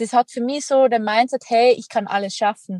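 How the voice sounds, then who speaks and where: With a Tyrolean accent, a woman speaks at a moderate pace in a fairly high pitch with ordinary variation, the sound dry and close with no echo. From Austria, Tyrol. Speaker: extreme athlete and entrepreneur. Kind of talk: interview conversation.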